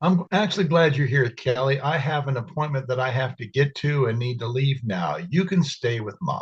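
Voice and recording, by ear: Aloud reading in a natural voice, with ordinary pitch variation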